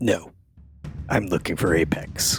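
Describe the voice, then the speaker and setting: A man does a raspy put-on character voice with faint music in the background. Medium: actual play. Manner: blunt, stubborn.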